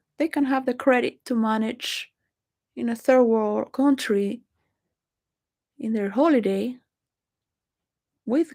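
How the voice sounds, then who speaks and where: A woman's fairly high voice with a Spanish accent, ordinary pitch variation and a fairly slow pace, on a very clean recording with a silent background. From Venezuela. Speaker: video blogger. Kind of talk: rambling monologue. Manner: halting.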